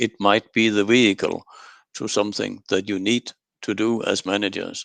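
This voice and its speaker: A man's fairly low voice, flat and monotone, at a moderate pace, with a dry, close sound and no echo. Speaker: quality management consultant. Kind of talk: webinar presentation. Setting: online webinar. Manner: calm.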